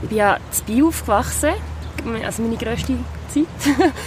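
The speaking goes at a fairly slow pace, with music in the background. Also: woman. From Basel, Switzerland. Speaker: singer-songwriter. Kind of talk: casual interview chat. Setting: outdoors on the Rhine riverbank.

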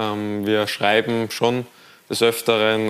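Very slow speech from a man at medium pitch. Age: 20s. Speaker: professional footballer. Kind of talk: TV studio talk interview. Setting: TV studio.

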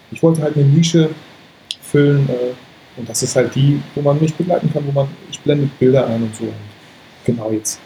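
The voice moves at a moderate pace with fairly even intonation and long, frequent pauses. Music plays in the background. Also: man, fairly high pitch for a man. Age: 30s. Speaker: photographer and YouTuber. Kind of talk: casual interview.

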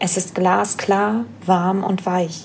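Speaking at medium pitch, a woman uses a soothing, calm tone with monotone, flat intonation. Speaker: podcast host and wellness coach. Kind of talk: guided meditation. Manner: slow, soothing, calm; gentle, dreamy, soft-spoken.

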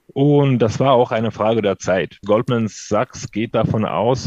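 A man talks at a fairly slow pace in a medium pitch with ordinary pitch variation. It is an ordinary speaking voice. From Ukraine (Odessa). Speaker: financial market analyst. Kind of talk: interview. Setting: studio.

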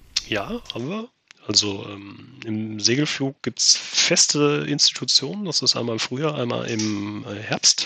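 Medium in pitch with lively intonation, a man with an unremarkable speaking voice talks at a fairly slow pace, his loudness swinging widely. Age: 30s. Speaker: amateur pilot, flying club member. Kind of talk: podcast interview.

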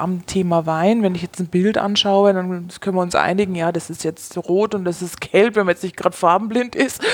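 In an unremarkable speaking voice, a woman talks at a moderate pace, her medium pitch moving with ordinary variation. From Bavaria, Germany. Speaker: wine expert and former sommelier. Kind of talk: interview conversation.

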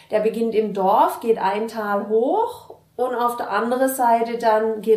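A woman speaks at a fairly high pitch. There is audible room echo and noticeable background noise. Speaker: innkeeper. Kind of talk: interview. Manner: hesitant, many fillers.

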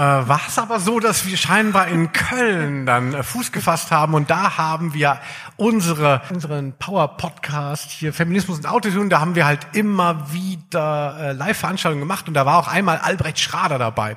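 A man's bright, sharp voice, fairly high in pitch with ordinary pitch variation, at a moderate pace with hardly any pauses. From southern Hesse, Germany (Darmstadt). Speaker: podcast host, music journalist. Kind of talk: live podcast on stage, casual banter. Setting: stage with live audience.

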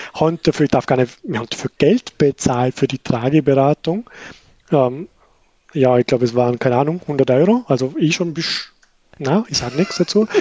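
In a dry, close sound with no echo, a man with a Vorarlberg accent, a fairly high pitch and a dark, mellow tone speaks at a moderate pace with lively intonation and long, frequent pauses. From Austria, Vorarlberg. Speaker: new father, colleague. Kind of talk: casual chat.

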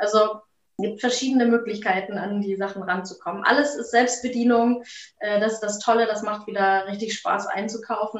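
A woman with an ordinary speaking voice, fairly high in pitch, with fairly even intonation at a moderate pace. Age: 30s. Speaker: shop owner. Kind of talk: interview.

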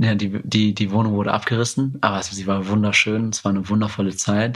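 The man's voice is fairly low in pitch, and his intonation stays fairly even. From Germany, Marburg area (came from Yemen aged five). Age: 20s. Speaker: Paralympic judoka and psychology student. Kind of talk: interview conversation. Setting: at home in his apartment. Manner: hesitant with many fillers.

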